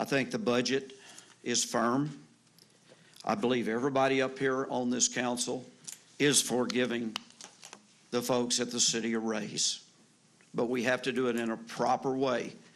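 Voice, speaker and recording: A man's medium-pitched, monotone voice with flat intonation at a moderate pace, long, frequent pauses, noticeable background noise and audible room echo. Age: 60s. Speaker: city council member. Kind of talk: council debate. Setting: council chamber.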